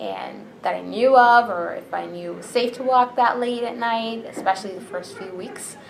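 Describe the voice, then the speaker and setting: Noticeable background noise accompanies a woman talking at a moderate speed. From Bahrain. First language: Arabic. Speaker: interviewee, immigrant. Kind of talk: interview answers.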